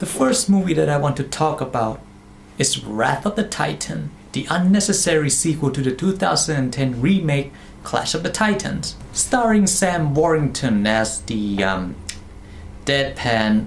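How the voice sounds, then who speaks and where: A man with a non-native accent speaks at a fairly high pitch and fairly slow pace, his pitch swinging very widely over noticeable background noise. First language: not English. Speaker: movie reviewer. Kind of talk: casual review monologue. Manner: animated.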